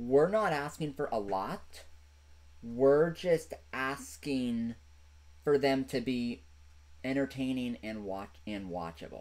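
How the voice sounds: Speaking at a slow pace, the man has a slightly mellow tone. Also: medium pitch for a man, lively intonation.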